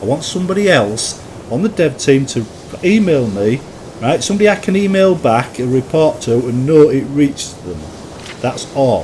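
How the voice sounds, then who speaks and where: A man with a Yorkshire accent, fairly high in pitch with very wide pitch swings, at a moderate pace over noticeable background noise. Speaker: gaming YouTuber and mod maker. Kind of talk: gameplay commentary. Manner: halting, repeats words.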